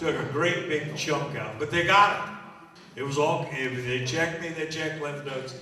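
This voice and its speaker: The voice moves at a moderate pace with ordinary pitch variation, heard through audible room echo and noticeable background noise. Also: man. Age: 70s. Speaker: magician and entertainer. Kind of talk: talk to a live audience. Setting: church luncheon with audience. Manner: conversational, with frequent hesitations.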